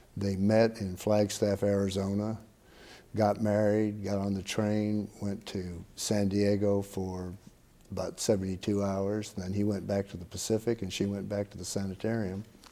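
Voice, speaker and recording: At a moderate pace, a man talks in a fairly low pitch with a dark, mellow tone and monotone, flat intonation. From Hawaii. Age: 60s. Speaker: state supreme court justice. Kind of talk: oral history interview.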